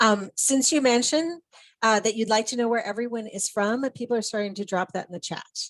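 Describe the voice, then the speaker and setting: A woman speaks at a fairly quick pace with a Minnesotan accent, her pitch fairly high with ordinary variation. The sound is dry and close, with no echo. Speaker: education specialist, presenter. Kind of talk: online presentation.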